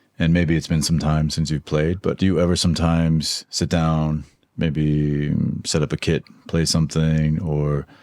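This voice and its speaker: A man with an American accent speaks in a very deep, low voice. His pace is moderate and his intonation monotone and flat. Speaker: podcast host. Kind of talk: interview; scripted outro.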